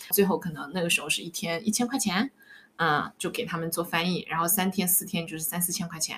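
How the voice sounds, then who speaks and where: A woman speaks at a very fast pace and a fairly low pitch. Noticeable background noise is present. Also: ordinary pitch variation. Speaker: life coach. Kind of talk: casual interview chat, sharing life story.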